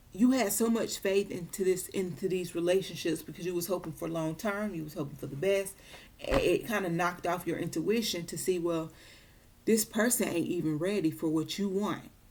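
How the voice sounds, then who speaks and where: A woman talks at a moderate pace. Her pitch is fairly low, with ordinary variation. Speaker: tarot reader. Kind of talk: tarot reading monologue.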